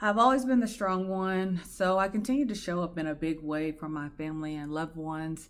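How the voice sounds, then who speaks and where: On a very clean recording with a silent background, a woman with a fairly low pitch talks fairly quickly in a shaky voice with lively intonation. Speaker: podcast host sharing personal story. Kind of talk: personal testimony monologue. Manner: shaky, emotional.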